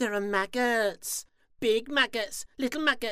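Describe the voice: The voice reads aloud plainly, its pitch varying in an ordinary way.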